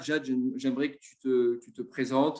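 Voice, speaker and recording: This man has an ordinary speaking voice. He talks at a fairly quick pace. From Marseille, southern France. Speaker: web show host. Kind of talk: live interview.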